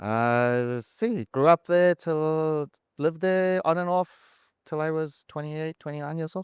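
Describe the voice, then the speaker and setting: A man with a South African accent at a fairly high pitch, fairly slow in pace, with ordinary pitch variation. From South Africa, Durban. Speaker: CFO, former auditor. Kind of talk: casual chat. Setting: live stage at a conference.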